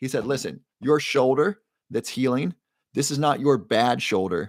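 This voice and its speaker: A man's medium-pitched voice with lively intonation, in a very clean recording with a silent background. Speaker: livestream host selling supplements. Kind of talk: live stream chat with viewers. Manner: fast.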